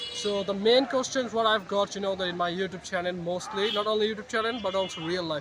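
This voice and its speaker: A man talks at a very fast pace in a raised, projected voice. Noticeable background noise runs behind him. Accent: Bengali. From Bangladesh. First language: Bengali. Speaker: vlogger. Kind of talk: vlog monologue. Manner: halting, many fillers.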